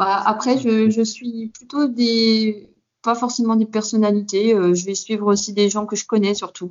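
Her intonation is monotone and flat, and the woman's pitch sits fairly high. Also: fairly slow pace. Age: 30s. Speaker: fitness coach. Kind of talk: interview.

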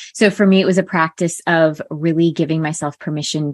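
In a General American accent, a woman speaks in an unremarkable speaking voice, fairly low-pitched with ordinary pitch variation. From US Northeast, Connecticut. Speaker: life coach. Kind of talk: interview.

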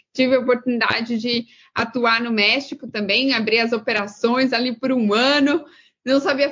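Her voice sits high, and this woman uses ordinary pitch variation. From Brazil, interior of São Paulo state. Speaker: career mentor. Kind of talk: interview.

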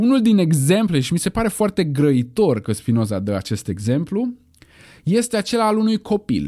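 A man's high-pitched voice with a dark, mellow tone and very wide pitch swings, moderate in pace, on a very clean recording against a silent background. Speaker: philosophy podcast host. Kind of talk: solo educational lecture. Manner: casual, conversational with fillers.

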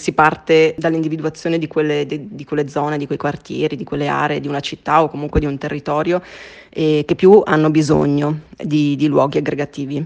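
Monotone, flat delivery at a fairly quick clip. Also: woman, very deep, low pitch for a woman. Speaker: sustainability consultant. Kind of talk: interview. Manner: hesitant, many fillers.

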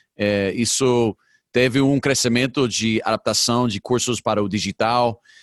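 A man talks at a fairly slow pace in a medium pitch, his loudness very even and his intonation fairly even, recorded dry and close with no echo over a quiet background. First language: English (speaking Portuguese). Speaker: podcast host. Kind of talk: interview conversation. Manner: halting, hesitant.

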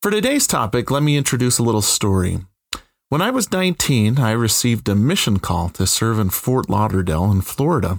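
A man with a Utah accent talks at a fairly quick pace and medium pitch, with very wide pitch swings and very even loudness, in a very clean recording with a silent background. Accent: American (Utah). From central Utah. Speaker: podcast host, professor. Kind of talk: scripted narration.

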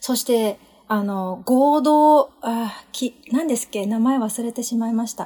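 With ordinary pitch variation and a fairly high pitch, a woman talks in a normal speaking voice. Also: fairly slow pace. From Japan. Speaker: podcast guest. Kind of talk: casual chat.

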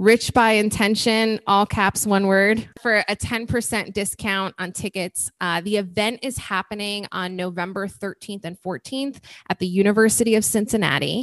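A woman's medium-pitched voice, an unremarkable speaking voice, at a moderate pace with fairly even intonation and hardly any pauses, dry and close with no echo over a quiet background. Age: 30s. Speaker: podcast host and event business founder. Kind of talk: interview.

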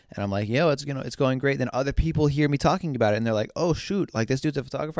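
This man sounds animated, with ordinary pitch variation. The recording is very clean, with a silent background. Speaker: podcast host and photographer. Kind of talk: casual solo podcast talk. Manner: casual, animated. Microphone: new microphone.

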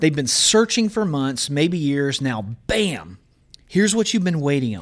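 This man has a medium pitch and a Southern US accent. His pitch swings very widely. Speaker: college professor. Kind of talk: Bible teaching.

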